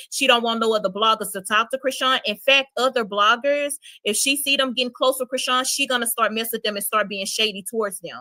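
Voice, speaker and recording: A woman with a Louisiana accent talks quickly and animatedly with hardly any pauses, her fairly high voice bright and sharp in tone, the sound dry and close with no echo. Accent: US Southern, Louisiana. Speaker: streamer, gossip content creator. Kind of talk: live stream chat.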